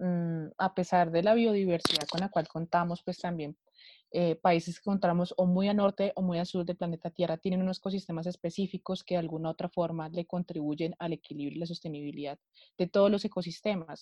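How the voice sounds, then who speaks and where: The delivery moves at a fairly quick pace in a monotone with flat intonation. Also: woman. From Bogotá, Colombia. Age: 20s. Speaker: political scientist. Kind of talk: panel discussion.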